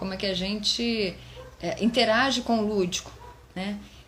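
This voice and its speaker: Noticeable background noise runs behind this recording. A woman speaks at a medium pitch. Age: 50s. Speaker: psychologist and educator. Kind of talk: live stream talk. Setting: Instagram live stream. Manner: halting, many fillers.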